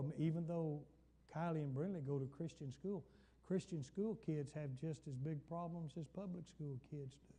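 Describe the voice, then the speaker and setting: A man talks at a moderate pace with an American accent and a fairly high pitch. His tone is dark and mellow, with ordinary pitch variation. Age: 70s. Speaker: pastor. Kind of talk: Bible study sermon. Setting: church.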